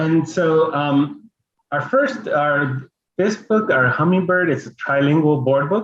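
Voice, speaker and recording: This man speaks at a very slow pace with a Spanish accent. His fairly high pitch shows ordinary variation. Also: very even loudness. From Los Angeles, Mexican-American family. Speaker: children's book illustrator and artist. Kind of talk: bilingual family reading event presentation. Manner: halting, code-switching English and Spanish.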